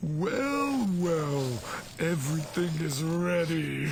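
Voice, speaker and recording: Against clear background noise, a man does a put-on character voice, high-pitched and very slow. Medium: machinima. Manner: formal, courteous.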